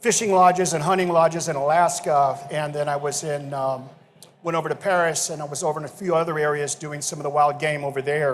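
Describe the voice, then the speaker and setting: Talking at a very fast pace, a man with a fairly high pitch and fairly even intonation is heard with audible room echo and noticeable background noise. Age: 60s. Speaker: chef. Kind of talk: casual interview; cooking demonstration. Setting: stage with audience. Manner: halting.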